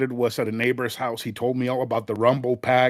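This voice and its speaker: A man talks with a Spanish accent. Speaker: retro gaming podcast guest. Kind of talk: casual chat.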